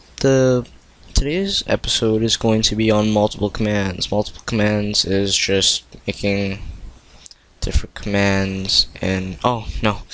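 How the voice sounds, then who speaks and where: Leaving long, frequent pauses, a man speaks at a fairly slow pace with fairly low pitch and fairly even intonation. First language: not English (Korean or Tagalog). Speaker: coding tutorial youtuber. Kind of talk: tutorial. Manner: halting, stumbling.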